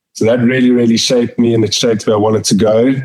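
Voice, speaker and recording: A man with a South African accent speaks at a medium pitch. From South Africa, Pretoria. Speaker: company finance chief. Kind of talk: interview. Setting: podcast.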